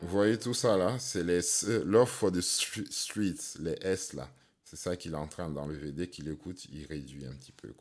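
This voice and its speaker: Lively in intonation, a man speaks with a very deep, low pitch and vocal fry. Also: fairly slow pace, big swings in loudness. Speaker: sound engineer and rapper. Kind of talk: tutorial.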